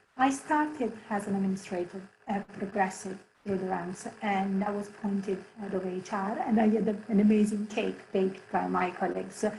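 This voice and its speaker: The speaker has an Italian accent and a moderate pace, with noticeable background noise behind them. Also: woman, medium pitch for a woman. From Italy, Barletta on the Adriatic coast. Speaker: head of HR. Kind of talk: presentation. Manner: animated.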